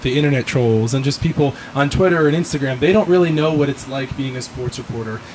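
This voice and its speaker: Words come at a very fast pace over noticeable background noise. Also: man. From Southwest Florida, Fort Myers. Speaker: podcast host. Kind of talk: casual chat. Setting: in person, Miami.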